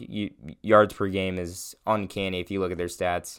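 With a very deep, low pitch and monotone, flat intonation, a man speaks fairly slowly in a very clean recording with a silent background. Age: young. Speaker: sports podcast host. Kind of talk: casual solo sports commentary. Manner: halting, many fillers.

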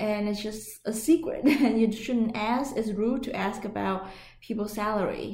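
In a Vietnamese accent, a woman talks at a fairly slow pace with a fairly high pitch and ordinary pitch variation, and audible room echo surrounds her voice. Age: 30s. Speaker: podcast co-host. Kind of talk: casual chat. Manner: hesitant, many fillers.

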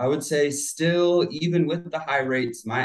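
This man has an unremarkable speaking voice with an American accent, talking at a moderate pace with fairly even intonation. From US South, Florida (Plant City). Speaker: real estate agent. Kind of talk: casual chat.

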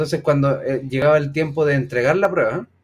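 Fairly high pitch from a man with a Chilean accent and fairly even intonation. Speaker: teacher and podcast co-host. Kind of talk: casual chat.

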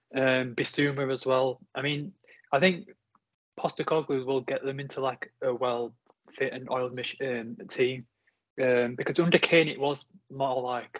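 A plain, everyday voice talks at a moderate pace. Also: man. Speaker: Chelsea fan, guest pundit.

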